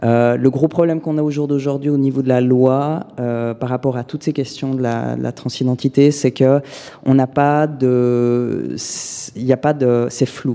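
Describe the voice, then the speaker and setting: A man speaks in a monotone, flat intonation at a fairly slow pace. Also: medium pitch for a man. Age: 20s. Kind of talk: interview testimony.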